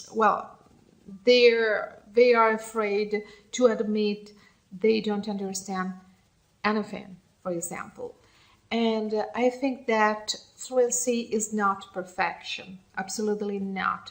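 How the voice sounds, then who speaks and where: Speaking very slowly with long, frequent pauses, a woman with an Italian accent keeps a fairly high pitch and fairly even intonation. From Italy. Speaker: English learner vlogger. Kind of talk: casual monologue. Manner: halting; mumbling.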